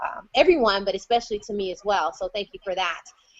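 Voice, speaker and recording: A woman with an ordinary speaking voice talks at a fairly quick pace and a fairly high pitch. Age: 30s. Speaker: conference moderator. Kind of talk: virtual conference moderation.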